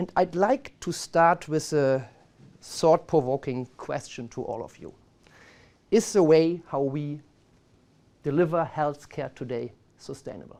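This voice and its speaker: In a strong German accent, a man speaks fairly slowly with a fairly high pitch, a dark, mellow tone and ordinary pitch variation, his loudness swinging widely. Long, frequent pauses break up his speech on a very clean recording with a silent background. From Germany. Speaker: marketing executive. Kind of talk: presentation.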